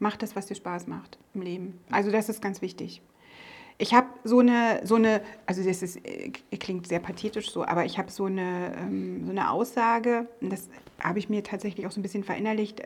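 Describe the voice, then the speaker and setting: A woman speaks fairly quickly at a medium pitch, her intonation fairly even and her voice showing vocal fry. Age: 40s. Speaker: business owner, former police officer. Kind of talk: interview. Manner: hesitant, many filler sounds.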